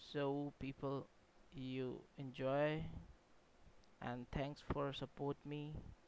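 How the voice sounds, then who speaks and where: A man with a non-native accent talks at a very slow pace in a fairly high pitch. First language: not English. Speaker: game developer YouTuber. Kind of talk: tutorial. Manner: halting.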